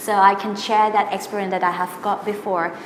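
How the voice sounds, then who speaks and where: Talking at a fairly quick pace, a woman with medium pitch keeps her intonation fairly even, over noticeable background noise and audible room echo. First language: Thai. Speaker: singer and singing teacher. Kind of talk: interview. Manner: halting, many fillers.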